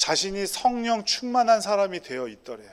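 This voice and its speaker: A man speaks at a moderate pace with a high pitch. The recording is very clean, with a silent background. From South Korea, Busan then Incheon. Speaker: pastor. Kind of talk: sermon.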